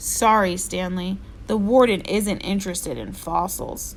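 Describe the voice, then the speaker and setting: A woman's raspy, put-on character voice at a moderate pace, with clear background noise. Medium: read story.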